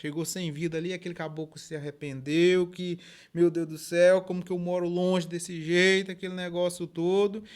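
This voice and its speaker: At a moderate pace, a man talks in a high pitch with monotone, flat intonation, captured in a very clean recording with a silent background. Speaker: rural storyteller. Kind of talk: folksy oral storytelling. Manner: informal, conversational.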